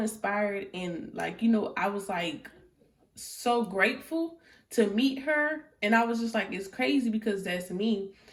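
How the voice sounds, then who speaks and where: Lively in intonation, a woman with a fairly high, somewhat breathy voice speaks at a fairly slow pace. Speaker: tarot reader. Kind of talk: tarot reading. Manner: soft-spoken; casual.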